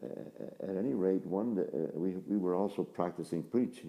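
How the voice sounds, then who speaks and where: The man's voice has a very deep, low pitch and a dark, mellow tone. Vocal fry runs through it. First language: Polish. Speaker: Franciscan friar, priest. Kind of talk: interview. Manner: halting, with frequent repetitions.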